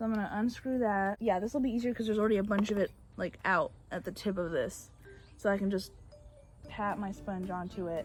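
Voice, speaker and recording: A woman at a medium pitch, fairly even in intonation and fairly quick in pace, with music in the background. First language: Bulgarian. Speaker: beauty YouTuber. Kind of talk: makeup tutorial. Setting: outdoors on back porch. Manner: casual, chatty.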